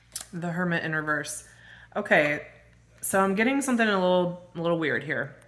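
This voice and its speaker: A woman with a fairly low pitch talks at a fairly quick pace, her intonation lively. Audible echo fills the room. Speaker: tarot reader. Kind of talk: tarot reading. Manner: casual, conversational.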